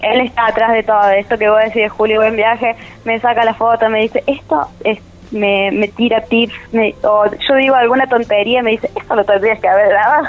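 A woman speaks in a Córdoba Argentine accent at a fairly quick pace, her pitch fairly high. Her loudness stays very even and her intonation fairly even, with noticeable background noise behind her. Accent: Córdoba tonada. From Almafuerte, Córdoba, Argentina. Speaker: travel content creator. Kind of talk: casual interview.

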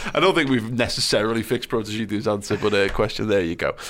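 The recording is very clean, with a silent background. A man speaks at medium pitch with a Liverpool accent. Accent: Scouse. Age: 30s. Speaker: podcast host. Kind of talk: casual chat.

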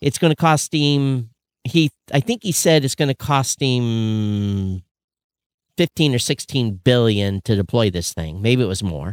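In a plain, everyday voice at medium pitch, a man speaks at a fairly slow pace with lively intonation, in a dry, close sound with no echo on a very clean recording with a silent background. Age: 50s. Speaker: podcast host, podcast company founder. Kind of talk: casual chat. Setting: livestream.

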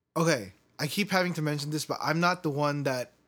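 In a very clean recording with a silent background, a man speaks at a fairly high pitch with an American accent. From US, Korean American. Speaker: podcast host. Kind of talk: casual chat. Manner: laughs often.

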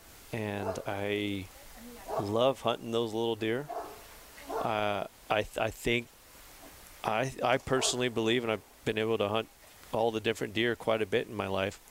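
With an American accent and a medium pitch, a man speaks at a moderate pace in a monotone, flat intonation, taking long, frequent pauses over noticeable background noise. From California, Central Valley. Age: 30s. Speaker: bowhunter and hunting guide. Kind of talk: casual chat.

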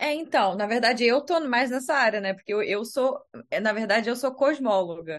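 A woman's high-pitched voice with lively intonation over a quiet background. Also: moderate pace. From Brazil, Rio de Janeiro. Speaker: astronomer. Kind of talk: casual chat.

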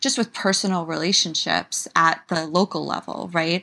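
On a very clean recording with a silent background, a woman speaks at a fairly low pitch with a bright, sharp tone and vocal fry. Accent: New York. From US, New York City. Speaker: writer. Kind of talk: interview.

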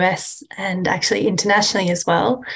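A woman's voice with vocal fry at a moderate pace.

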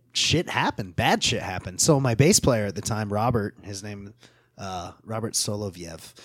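A man with an American accent speaks in a normal speaking voice at a fairly low pitch and a moderate pace. His pitch varies in an ordinary way, while his loudness swings widely. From Ogden, Utah. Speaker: metal band musician and guitar maker. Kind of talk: casual chat. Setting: studio.

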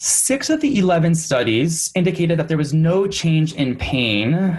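At a moderate pace, a man with an American accent and a fairly high pitch uses a normal speaking voice. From US Midwest, Michigan. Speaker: speech-language pathologist and researcher. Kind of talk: interview about clinical research. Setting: remote recording at parents' home.

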